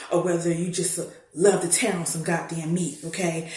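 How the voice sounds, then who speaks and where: Heard with audible room echo, a woman speaks at a fairly low pitch. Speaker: storyteller. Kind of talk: casual chat; storytelling. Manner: loud; animated.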